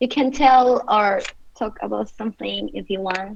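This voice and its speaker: Against noticeable background noise, a woman with a fairly high pitch talks at a fairly slow pace with fairly even intonation. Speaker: ESL company coordinator. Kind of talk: online meeting.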